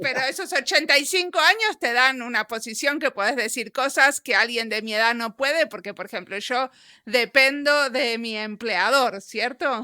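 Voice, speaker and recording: A woman with a high pitch and bright, sharp tone talks at a moderate pace with lively intonation and hardly any pauses, the sound dry and close with no echo on a very clean recording with a silent background. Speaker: podcast interviewer. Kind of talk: interview.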